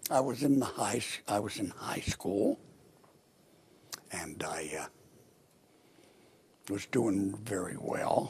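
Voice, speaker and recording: A man whispers at a very slow pace with an American accent, leaving long, frequent pauses. Noticeable background noise runs underneath. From Pennsylvania. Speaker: war veteran; politician. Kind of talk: interview answer. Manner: relaxed, slow.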